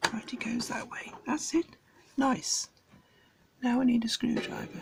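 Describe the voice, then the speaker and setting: A woman with a high-pitched voice over noticeable background noise. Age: old. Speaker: amateur radio hobbyist. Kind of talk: casual tutorial commentary. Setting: home writing desk at night. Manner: soft-spoken.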